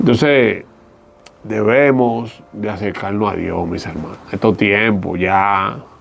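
A man speaks very slowly at a fairly low pitch, with ordinary pitch variation. Noticeable background noise and audible room echo fill the recording. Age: 40s. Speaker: former stripper turned evangelist. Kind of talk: testimony.

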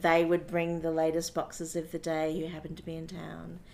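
Her pitch fairly low, a woman speaks with an Australian accent. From Brisbane, Australia. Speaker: theatre sound technician. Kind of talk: interview.

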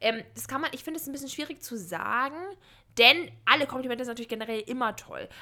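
This woman speaks in a raised, projected voice at a very fast pace, her high pitch and bright, sharp tone paired with ordinary pitch variation and big swings in loudness. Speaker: podcast co-host. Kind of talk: casual chat.

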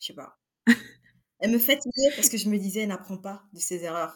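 A woman speaks at a fairly high pitch with lively intonation. Her tone is bright and sharp. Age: 20s. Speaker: book reviewer on social media. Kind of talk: casual book discussion.

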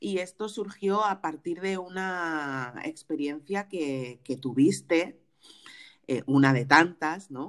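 A woman's fairly low voice, with lively intonation and a very slow pace, on a very clean recording over a silent background. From Spain. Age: 40s. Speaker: podcast host and afrofeminist author. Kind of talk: casual interview conversation.

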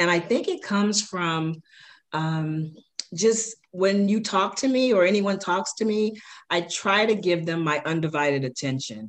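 A woman with a normal speaking voice and an American accent talks at medium pitch and a fairly slow pace. Her intonation is lively over a quiet background. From South Side of Chicago. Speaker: podcast host's mother, former corporate manager. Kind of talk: casual chat. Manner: frequent fillers, relaxed.

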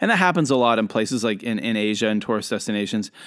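A man with a Canadian accent on a very clean recording with a silent background. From Canada. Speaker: podcast host and international educator. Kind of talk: storytelling monologue. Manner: casual, with frequent fillers.

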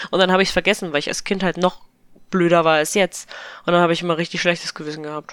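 A woman talks at a very fast pace in a fairly low voice with monotone, flat intonation. The recording is very clean, with a silent background. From eastern Germany. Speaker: podcast guest. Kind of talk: casual chat.

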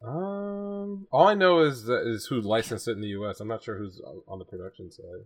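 A man with an American accent talks at a fairly quick pace with hardly any pauses over a quiet background. His pitch swings very widely and his loudness swings a lot. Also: medium pitch for a man. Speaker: anime podcast co-host. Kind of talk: casual chat.

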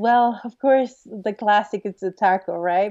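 A woman speaks at a moderate pace in a Spanish accent. Her medium-pitched voice has a dark, mellow tone and fairly even intonation. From northeast Mexico, border with South Texas. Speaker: media producer. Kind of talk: interview. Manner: halting.

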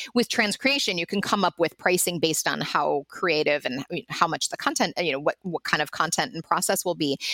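A woman with an American accent and an unremarkable speaking voice, fairly low in pitch and fairly quick, with lively intonation, on a very clean recording with a silent background and a dry, close sound with no echo. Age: 50s. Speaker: linguistic anthropologist and translation company founder. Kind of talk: interview.

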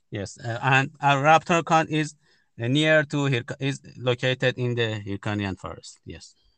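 A man with a Persian accent talks at a fairly slow pace, his loudness swinging widely. The background is quiet, and the sound is dry and close with no echo. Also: medium pitch for a man, ordinary pitch variation. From Iran. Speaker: birder and photographer. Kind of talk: interview. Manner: halting.

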